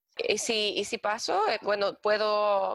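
In a Chilean accent, a woman speaks with a dry, close sound with no echo on a very clean recording over a silent background. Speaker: working holiday traveler. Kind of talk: casual interview. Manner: halting, repeats words.

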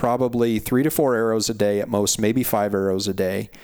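A man with an American accent speaks in a normal speaking voice, fairly low in pitch, at a moderate pace with fairly even intonation. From Montana. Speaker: hunting podcast host. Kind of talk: casual interview chat.

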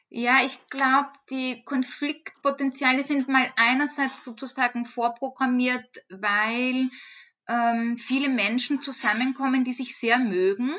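A woman speaks very slowly in a raised, projected voice, high-pitched, with fairly even intonation and a bright, sharp tone. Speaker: head of a university social work department. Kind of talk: interview.

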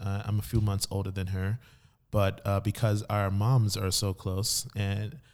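With a Miami accent, a man speaks at a fairly low pitch on a very clean recording with a silent background. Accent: Miami American English. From Miami, Florida. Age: young. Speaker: podcast co-host. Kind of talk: casual chat. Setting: studio.

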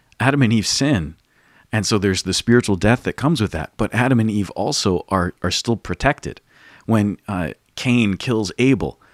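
On a very clean recording with a silent background and a dry, close sound with no echo, a man with a plain, everyday voice speaks at a moderate pace, fairly low in pitch and with ordinary pitch variation. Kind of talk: casual chat and interview.

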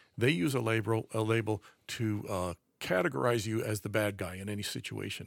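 Heard on a very clean recording with a silent background, a man with an American accent speaks in an unremarkable speaking voice at a fairly low pitch, with ordinary pitch variation and a fairly quick pace. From US, raised around the country. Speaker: conservative author and commentator. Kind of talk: casual chat.

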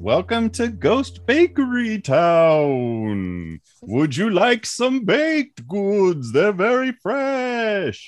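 A man's put-on character voice, high in pitch, very slow with hardly any pauses. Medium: actual play.

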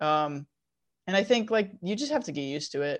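This woman has an unremarkable speaking voice, pitched fairly low, with lively intonation and a moderate pace against a quiet background. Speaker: cosplayer and prop maker. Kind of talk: casual interview chat.

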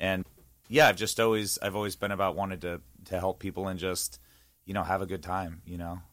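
Very deep, low-pitched man's voice with a Californian accent and fairly even intonation. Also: fairly quick pace. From Northern California (East Bay). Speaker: singer-songwriter. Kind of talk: casual interview chat. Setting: radio studio.

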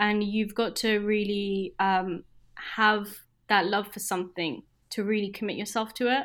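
With a British accent, the speaker delivers a monotone, flat intonation at a fairly slow pace. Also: woman, medium pitch for a woman. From UK. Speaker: junior doctor turned product manager. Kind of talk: casual interview.

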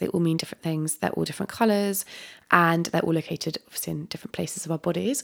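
In a southern English accent, a woman speaks at a fairly low pitch with ordinary pitch variation, on a very clean recording with a silent background. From Dorset, southwest England. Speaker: holistic health coach. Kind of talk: casual interview. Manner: calm.

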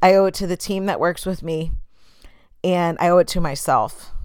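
In a very clean recording with a silent background, a woman with a fairly low pitch talks at a moderate pace in an animated tone. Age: 30s. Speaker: podcast host. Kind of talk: solo motivational podcast monologue.

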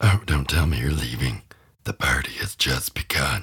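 Very deep, low pitch in a man's put-on character voice, moderate pace. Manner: sinister, mocking, menacing.

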